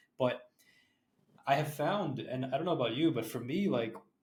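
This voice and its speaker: A somewhat breathy voice with a Canadian accent, a fairly quick pace, and ordinary pitch variation. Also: man. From Canada. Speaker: podcast host. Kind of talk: podcast interview.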